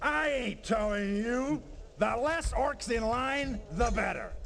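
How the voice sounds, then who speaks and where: Over clear background noise, a man uses a put-on character voice at an extremely high pitch and a fairly slow pace. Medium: video game. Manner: sardonic, gruff.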